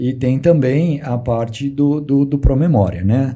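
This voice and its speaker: Somewhat breathy male speech with a dark, mellow tone, ordinary pitch variation and audible room echo. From Brazil, São Carlos (São Paulo state). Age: 60s. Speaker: real estate businessman. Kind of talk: interview. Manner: halting, repeats words.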